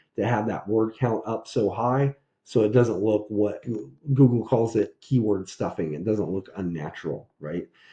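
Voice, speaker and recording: His voice carries a dark, mellow tone and is somewhat breathy. The man talks at a moderate pace. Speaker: SEO consultant. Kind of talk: tutorial. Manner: casual, conversational.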